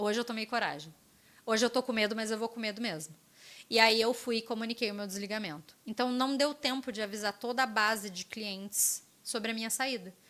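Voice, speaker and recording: Her bright, sharp, fairly high voice moves at a fairly quick clip with ordinary pitch variation, and the recording is very clean with a silent background. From interior of São Paulo state, Brazil (Lorena). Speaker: former digital platform relationship manager. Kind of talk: casual podcast interview.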